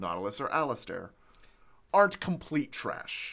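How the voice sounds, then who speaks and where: On a very clean recording with a silent background, a man's fairly high-pitched voice has a bright, sharp tone and vocal fry. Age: 30s. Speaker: podcast host. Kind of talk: casual chat.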